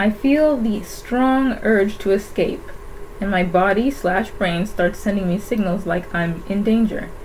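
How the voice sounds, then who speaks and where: The delivery is fairly slow. Background noise is noticeable throughout. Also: woman. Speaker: YouTuber. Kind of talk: reading aloud from own diary. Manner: halting.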